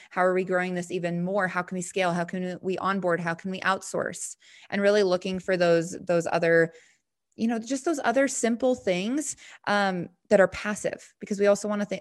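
A woman speaks in a plain, everyday voice with an American accent. Her pitch is medium, her pace moderate, and the background is quiet. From Montana. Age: 20s. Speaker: network marketing entrepreneur. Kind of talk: interview.

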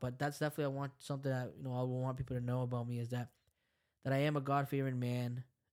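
In a very clean recording with a silent background, a man with an American accent talks very fast in an animated tone. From Lynn, Massachusetts (Salvadoran parents). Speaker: podcast host. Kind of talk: casual chat.

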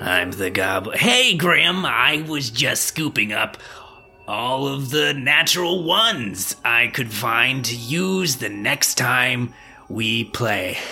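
A man in a put-on character voice at a very slow pace, with clear background noise. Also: medium pitch for a man. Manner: sneaky, comic.

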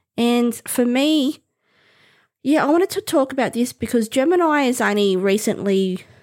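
A woman with an Australian accent, fairly slow and with very wide pitch swings, in a dry, close sound with no echo. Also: very clean recording, silent background. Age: 50s. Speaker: podcast host. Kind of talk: casual monologue.

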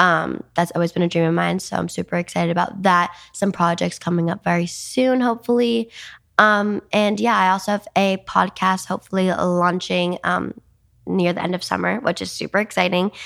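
The recording is very clean with a silent background as a woman talks at a moderate pace. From New Jersey. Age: young. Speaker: dancer and social media influencer. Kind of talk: casual interview. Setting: studio. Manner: animated.

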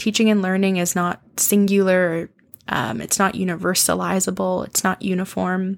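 At a moderate pace, a woman with a Canadian accent and an unremarkable speaking voice talks at medium pitch. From Canadian prairies, Saskatoon. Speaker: podcast host, literature lecturer. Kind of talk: solo podcast monologue. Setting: home recording.

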